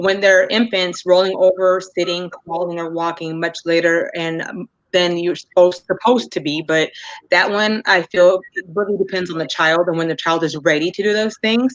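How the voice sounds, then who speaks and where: A woman speaks at a fairly low pitch. Her pace is moderate and her intonation fairly even. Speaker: mental health presenter. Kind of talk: lecture. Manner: halting.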